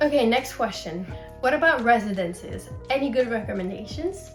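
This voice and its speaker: A woman speaks with lively intonation. Music plays in the background. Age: 20s. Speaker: university student. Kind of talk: Q&A vlog.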